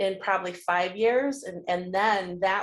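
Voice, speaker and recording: Here a woman speaks with a Michigan accent. Her pitch is medium and her pace fairly slow. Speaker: group coaching participant. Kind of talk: casual group discussion. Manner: halting, many repeated words.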